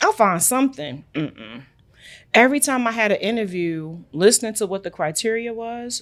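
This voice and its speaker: A woman with a Brooklyn accent speaks at a fairly quick pace in a fairly high voice. Her tone is animated and her intonation lively. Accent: New York (Brooklyn). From New York, Brooklyn. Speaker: international trade entrepreneur. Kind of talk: podcast interview.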